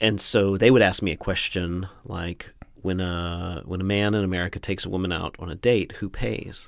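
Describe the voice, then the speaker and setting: This man's voice sits at a very deep, low pitch with ordinary pitch variation. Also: moderate pace. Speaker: podcast host. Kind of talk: casual interview. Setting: studio. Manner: frequent fillers and restarts.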